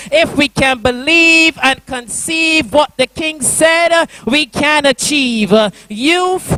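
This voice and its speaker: A man's raised, projected voice at an extremely high pitch, very slow pace, and ordinary pitch variation, with a dry, close sound without echo and noticeable background noise. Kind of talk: spoken word poetry performance. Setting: church youth convention.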